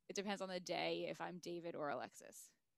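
A woman speaks with vocal fry. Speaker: podcast co-host. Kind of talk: casual chat.

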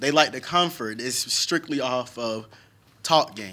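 Bright and sharp in tone, a man with an American accent talks at a moderate pace and a medium pitch. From Naples, Florida. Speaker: podcast co-host. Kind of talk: casual chat.

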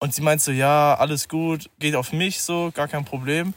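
A man with an unremarkable speaking voice talks at a fairly high pitch and a moderate pace, with ordinary pitch variation. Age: 20s. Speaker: musician and trainee lab technician. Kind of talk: casual chat. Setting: outdoors at night under the stars.

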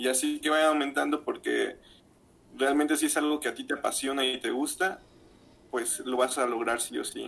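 A man with a Mexican accent at a moderate pace. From Mexico, Zamora region (Michoacán). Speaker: podcaster. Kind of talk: casual chat.

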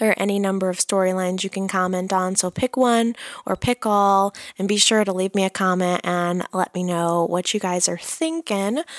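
Soft-spoken and enthusiastic, a woman of medium pitch speaks at a moderate pace with ordinary pitch variation, in a dry, close sound with no echo on a very clean recording with a silent background. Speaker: soap opera recap podcaster. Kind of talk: casual chat. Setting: in bed at home. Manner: soft, muted delivery; enthusiastic, laughs often.

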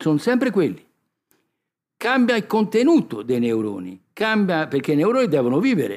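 Very wide pitch swings from a man at a fairly quick pace, on a very clean recording against a silent background. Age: 70s. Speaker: doctor and author. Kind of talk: public talk.

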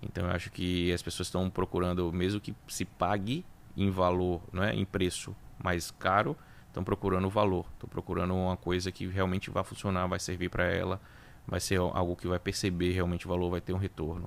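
Fairly quick, monotone, flat delivery in a Bahian accent. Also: man, very deep, low pitch for a man. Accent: Bahian Brazilian Portuguese. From Bahia, Brazil (Salvador). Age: 40s. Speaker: auto repair business owner. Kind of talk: interview.

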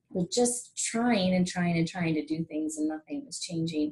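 A woman's fairly low, somewhat breathy voice at a moderate pace. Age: 40s. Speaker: yoga instructor and wellness coach. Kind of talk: casual interview chat.

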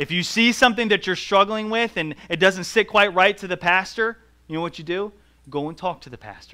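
In a very clean recording with a silent background, a man with an American accent projects a raised, high-pitched voice with a bright, sharp tone, ordinary pitch variation and a moderate pace. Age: 30s. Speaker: pastor. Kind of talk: sermon.

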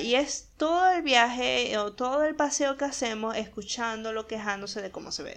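Lively in intonation, a woman talks at a fairly high pitch in an unremarkable speaking voice. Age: 20s. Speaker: podcast host and illustrator. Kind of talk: casual monologue.

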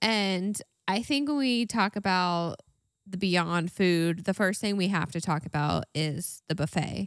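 Very clean recording, silent background, with a woman's ordinary speaking voice, medium pitch, ordinary pitch variation, fairly slow pace and a dry, close sound with no echo. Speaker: podcast co-host. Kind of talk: casual chat.

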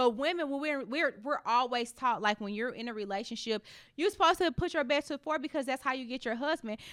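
On a very clean recording with a silent background, a woman speaks at a high pitch with lively intonation in a dry, close sound with no echo. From US Midwest, St. Louis inner city. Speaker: car salesperson. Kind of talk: casual chat.

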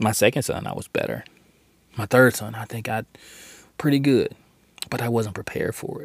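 A man at a medium pitch with an animated tone, ordinary pitch variation, a fairly quick pace and long, frequent pauses. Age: 40s. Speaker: podcast host and preacher. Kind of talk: sermon-style monologue.

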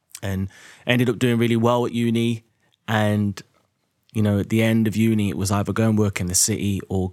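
Speaking at a fairly quick pace with an English Midlands accent, a man with a fairly low pitch comes through on a very clean recording with a silent background. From English Midlands, Derby. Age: 30s. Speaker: property investor and podcaster. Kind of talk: casual monologue to listeners. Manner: animated.

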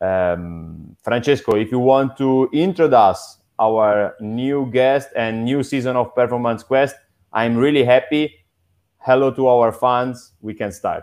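This is an unremarkable speaking voice with ordinary pitch variation. It moves at a fairly slow pace against a quiet background. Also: man, medium pitch for a man. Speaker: podcast host. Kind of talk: interview.

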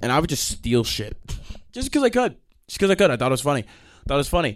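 An American-accented man, animated and very fast, with lively intonation, on a very clean recording with a silent background. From New York. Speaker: podcast host. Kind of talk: casual solo rant.

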